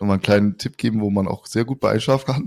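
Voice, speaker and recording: On a very clean recording with a silent background, a man uses an ordinary speaking voice, fairly low in pitch with ordinary pitch variation, and the sound is dry and close with no echo. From Rhineland, near Cologne. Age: 30s. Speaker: podcast co-host. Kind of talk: casual chat.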